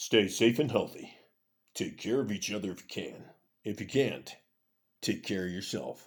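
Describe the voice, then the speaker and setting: A man's put-on character voice at medium pitch and a moderate pace, broken by long, frequent pauses. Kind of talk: smooth, polished broadcast delivery.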